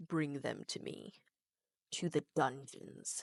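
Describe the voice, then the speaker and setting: A put-on character voice at a low-to-middle pitch moves at a very slow pace. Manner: commanding, ominous.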